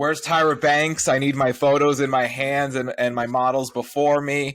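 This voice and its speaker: At a moderate pace, a man with a fairly high pitch talks in a monotone, flat intonation. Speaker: podcast host. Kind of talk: casual chat. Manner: loud. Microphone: too close to the mic, clipping.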